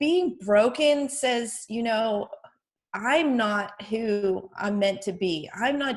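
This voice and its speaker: A woman with an American accent speaks at a fairly high pitch, her pitch varying in an ordinary way. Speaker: speaker and teacher. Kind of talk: interview.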